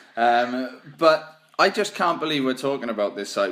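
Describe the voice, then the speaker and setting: This man speaks in a Welsh accent with a fairly high pitch. His tone is bright and sharp, and his pace is moderate. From Wales. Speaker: podcast host. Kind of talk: casual chat.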